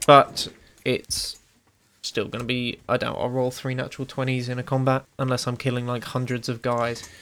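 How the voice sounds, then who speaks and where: In a British accent, a man speaks at medium pitch with monotone, flat intonation. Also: moderate pace. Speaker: player in tabletop role-playing game, co-host. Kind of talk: casual chat and roleplaying. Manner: casual, joking.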